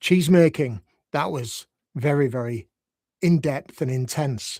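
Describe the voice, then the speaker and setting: Recorded with a dry, close sound with no echo and a very clean, silent background, a man with a Yorkshire accent speaks in a fairly high pitch with lively intonation. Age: 60s. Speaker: life coach. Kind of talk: unscripted live reflective talk. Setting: live video stream. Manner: gentle, unhurried.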